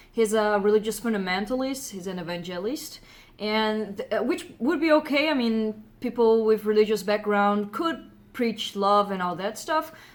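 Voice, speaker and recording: Fairly high-pitched and with lively intonation, a woman talks in a Brazilian Portuguese accent over noticeable background noise. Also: moderate pace. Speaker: comic book writer and artist. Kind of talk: casual commentary vlog. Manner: hesitant, many fillers.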